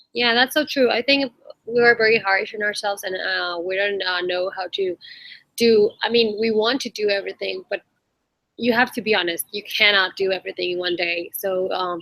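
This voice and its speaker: With a Spanish accent, a woman speaks at a moderate pace in a medium pitch with ordinary pitch variation. Her tone is bright and sharp, and the sound is dry and close with no echo. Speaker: online community host. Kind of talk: casual chat.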